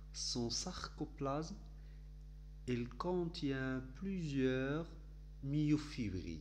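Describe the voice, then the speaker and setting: A man at a very slow pace with long, frequent pauses and audible room echo. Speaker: teacher. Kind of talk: lecture. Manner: halting.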